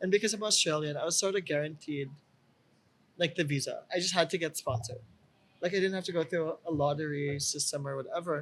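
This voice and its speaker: High pitch from a man, fairly quick in pace, pitch varying in an ordinary way. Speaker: podcast co-host. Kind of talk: casual chat.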